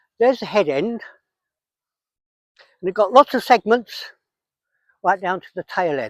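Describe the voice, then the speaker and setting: A man with a southern English accent speaks at a high pitch and a moderate pace, with lively intonation. Long, frequent pauses break up his speech, and the sound is dry and close with no echo. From England. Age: 80s+. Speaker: wildlife conservationist. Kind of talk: outdoor nature walk explanation. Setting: outdoors.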